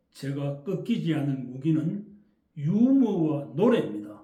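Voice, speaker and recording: In a strong Gyeongsang accent, a man with a fairly high pitch and a dark, mellow tone makes very wide pitch swings amid audible room echo. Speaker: essay reader and commentator. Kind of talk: reading aloud; casual talk to viewers. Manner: intonation differs from standard Korean.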